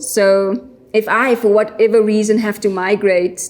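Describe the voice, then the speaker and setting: With fairly even intonation, a woman speaks at a medium pitch while noticeable background noise plays behind her. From South Africa. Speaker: environmental NGO worker. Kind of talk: podcast interview. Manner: hesitant, many fillers.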